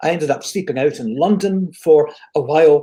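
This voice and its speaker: At a fairly slow pace, a man speaks with a high pitch and a dark, mellow tone. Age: 70s. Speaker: motivational speaker and business consultant. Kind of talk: interview on a live stream. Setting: online live broadcast.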